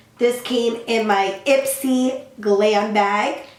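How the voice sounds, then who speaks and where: A woman's voice with ordinary pitch variation, audible room echo, and noticeable background noise. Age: young. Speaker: beauty vlogger. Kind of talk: tutorial.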